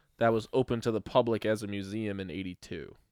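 A man with a normal speaking voice, a medium pitch and an American accent talks at a moderate pace. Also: very clean recording, silent background. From Brooklyn, New York. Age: 30s. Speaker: podcast host. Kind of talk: casual chat.

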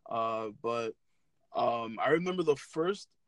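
In a New York accent, a man speaks with lively intonation in a dry, close sound with no echo. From New York City (Brooklyn). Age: 20s. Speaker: sneaker YouTuber. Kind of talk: casual interview.

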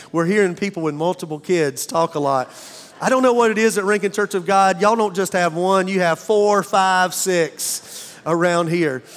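The pace is moderate and the pitch varies in an ordinary way. Loudness stays very even. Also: man, high pitch for a man. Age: 50s. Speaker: pastor. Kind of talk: sermon. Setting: church. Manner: animated.

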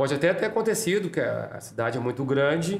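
In a plain, everyday voice, a man talks at a moderate pace with lively intonation. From Porto Alegre, southern Brazil. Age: 50s. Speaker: samba school president. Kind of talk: casual interview.

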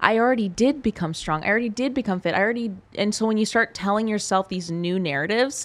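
A woman with a plain, everyday voice, speaking at a fairly quick pace with ordinary pitch variation, on a very clean recording against a silent background. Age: 30s. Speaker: fitness coach and bikini competitor. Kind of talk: casual chat.

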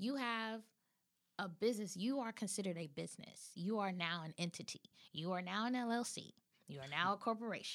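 Speaking with an American accent, a woman has an ordinary speaking voice at a medium pitch. Her pitch variation is ordinary and her pace fairly quick. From California. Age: 30s. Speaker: actress and acting coach. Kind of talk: interview.

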